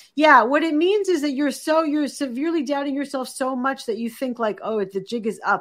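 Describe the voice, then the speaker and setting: High-pitched woman with an American accent at a fairly quick pace. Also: lively intonation, hardly any pauses. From Boston, US. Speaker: executive coach and author. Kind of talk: interview conversation. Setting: video call.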